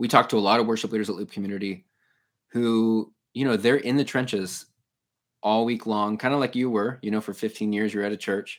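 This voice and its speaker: Fairly even intonation and a fairly quick pace from a plain, everyday voice. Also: man, fairly low pitch for a man. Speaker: podcast host. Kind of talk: casual interview. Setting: video call.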